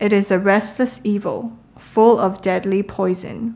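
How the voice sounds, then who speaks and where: A woman talks in a normal speaking voice at a medium pitch, her intonation fairly even. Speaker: scripture reader. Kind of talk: reading aloud.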